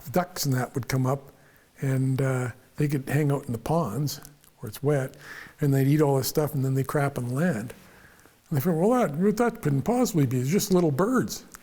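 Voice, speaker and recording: A man with a western Canadian accent, a dark, mellow tone, a somewhat breathy voice and lively intonation. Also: fairly high pitch for a man, moderate pace. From western Canada (prairies). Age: 70s. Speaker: engineer / mentor interviewee. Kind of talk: casual chat. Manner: animated; halting, repeats words.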